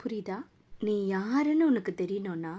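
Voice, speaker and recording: This woman's voice has a dark, mellow tone. Her pitch swings very widely. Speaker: dubbing artist. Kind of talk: film dub, motivational monologue.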